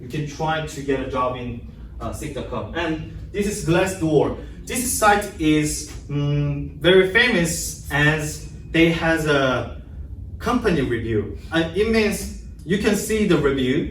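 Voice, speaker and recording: A man with a Korean accent speaks at a very slow pace, his loudness swinging widely. Audible room echo and noticeable background noise fill the recording. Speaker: English language student. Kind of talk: class presentation. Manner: halting.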